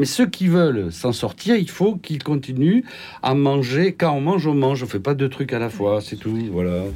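Listen to a man with a dark, mellow tone. His pitch swings very widely. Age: 70s. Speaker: general practitioner. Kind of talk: radio panel discussion.

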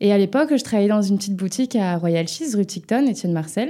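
A woman speaks with a dark, mellow tone. Her pace is fairly quick. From western France, near Nantes (Loire-Atlantique). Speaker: music publisher. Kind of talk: interview.

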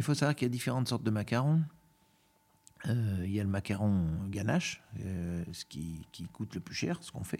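The recording is very clean and the background silent. A man's pitch swings very widely. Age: 50s. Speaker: chocolatier. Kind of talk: casual interview conversation.

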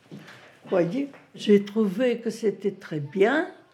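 A woman talks at a medium pitch. There is noticeable background noise. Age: 90s. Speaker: retirement home resident sharing memories. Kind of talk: interview testimony.

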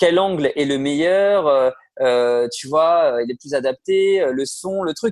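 Very slow, lively intonation from a man at a fairly high pitch, with a dry, close sound and no echo. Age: 30s. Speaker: music manager and producer. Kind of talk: interview. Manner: hesitant, many fillers.

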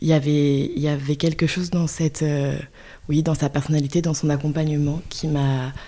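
A woman with a very deep, low pitch and a dark, mellow tone speaks in a monotone, flat intonation at very even loudness, leaving long, frequent pauses. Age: 20s. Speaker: early childhood educator. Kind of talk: interview. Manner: halting.

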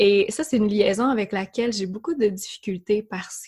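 Dark, mellow, somewhat breathy voice of a woman with a Quebec accent, in a very clean recording with a silent background. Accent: Québécois. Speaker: yoga teacher. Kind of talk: interview conversation.

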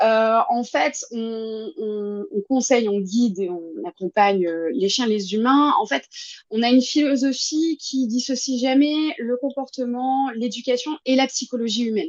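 A high-pitched woman at a fairly slow pace, with lively intonation. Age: 20s. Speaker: dog behaviourist and agility trainer. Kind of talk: casual interview.

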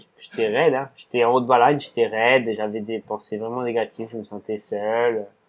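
Hardly pausing, a man speaks at a medium pitch with monotone, flat intonation. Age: 30s. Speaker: ultra-endurance cyclist and restaurant owner. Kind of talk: casual interview. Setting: in his restaurant.

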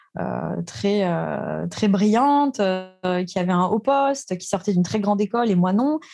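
Medium-pitched female voice, lively intonation, a fairly slow pace with hardly any pauses, noticeable background noise. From France, Alsace. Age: 30s. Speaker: real estate investor. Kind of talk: interview.

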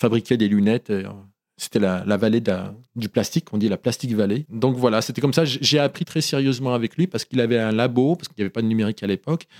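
On a very clean, dry, close recording with a silent background and no echo, a man speaks in a dark, mellow tone at medium pitch with ordinary pitch variation. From France, Oyonnax (Ain), born in Morocco. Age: 50s. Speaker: photographer. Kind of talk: interview. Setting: studio. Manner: halting.

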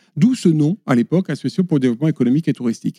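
The voice is a man's, pitched fairly high. His intonation is lively. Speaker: conservation association director. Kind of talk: podcast interview. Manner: hesitant, with many fillers and repetitions.

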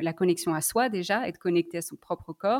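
A woman speaks at a moderate pace. Her voice sits fairly low, with ordinary pitch variation. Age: 20s. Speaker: sex therapist. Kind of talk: testimony. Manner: halting, many fillers.

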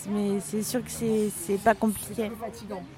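A woman with a fairly high pitch talks at a fairly slow pace while music plays in the background. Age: 20s. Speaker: lawyer. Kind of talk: interview. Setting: café. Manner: halting.

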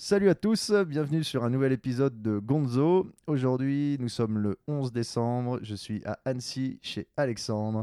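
A man with an unremarkable speaking voice and a medium pitch talks at a fairly slow pace with lively intonation and hardly any pauses. The sound is dry and close, with no echo. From Quebec (Montreal). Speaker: podcast host. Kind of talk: casual chat.

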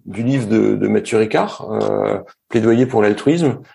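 Speaking at a fairly slow pace, a man with a medium pitch and a dark, mellow tone uses ordinary pitch variation. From northern France (Nord). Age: 40s. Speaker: entrepreneur. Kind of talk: casual interview conversation. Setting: remote recording.

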